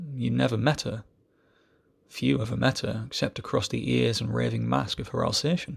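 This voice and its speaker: The man has a fairly low pitch and vocal fry. His pitch swings very widely. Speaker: amateur poetry reader. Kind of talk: reading aloud. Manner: fast.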